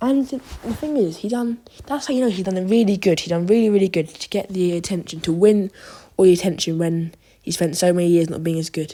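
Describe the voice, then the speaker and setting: A woman speaks very fast at a medium pitch with lively intonation. Her tone is dark and mellow, and the recording is very clean with a silent background. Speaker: football commentator. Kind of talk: opinion monologue. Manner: halting, repetitive.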